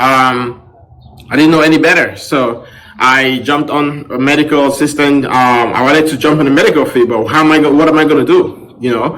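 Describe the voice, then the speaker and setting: Through audible room echo and noticeable background noise, a man speaks at a fairly quick pace with a fairly high pitch and fairly even intonation. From Cameroon. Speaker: podcast host. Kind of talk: personal story monologue. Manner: casual, with many fillers.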